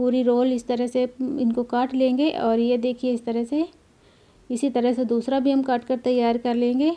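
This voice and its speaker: Intonation is monotone and flat. Loudness stays very even throughout. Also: woman. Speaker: cooking channel host. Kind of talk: cooking tutorial. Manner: conversational, repetitive.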